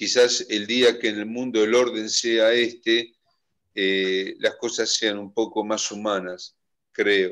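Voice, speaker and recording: Against a quiet background, a man speaks very slowly with fairly even intonation. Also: medium pitch for a man. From Argentina. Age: old. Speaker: event coordinator. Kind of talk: moderating an online seminar. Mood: warm, reflective. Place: home room. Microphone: video call.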